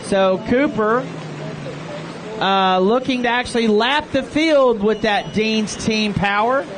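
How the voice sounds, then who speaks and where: Someone with an American accent speaks at a very slow pace. Noticeable background noise runs underneath. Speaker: race announcer. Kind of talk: live commentary. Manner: animated.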